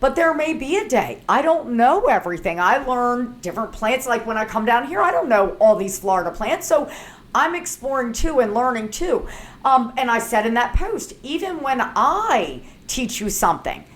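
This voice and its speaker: A woman's high voice in an American accent, with very wide pitch swings at a moderate pace. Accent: Baltimore accent, usually hidden. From Baltimore, US. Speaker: herbalist and author. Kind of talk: casual chat. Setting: sitting down in person. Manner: relaxed, conversational.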